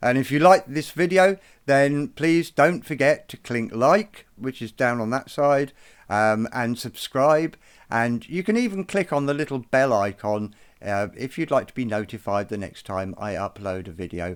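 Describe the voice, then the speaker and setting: On a very clean recording with a silent background, a man of medium pitch talks at a moderate pace with very wide pitch swings. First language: not Irish (speaks English). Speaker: druid and bard, video presenter. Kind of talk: educational tutorial. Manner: hesitant with fillers.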